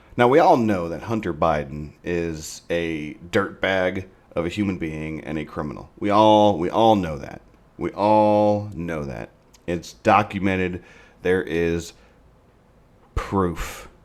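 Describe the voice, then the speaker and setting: In a very clean recording with a silent background, a man with an American accent mumbles at a very slow pace, his pitch very deep and low, with ordinary pitch variation. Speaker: political commentary podcast host. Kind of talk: opinion monologue. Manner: mumbling; halting.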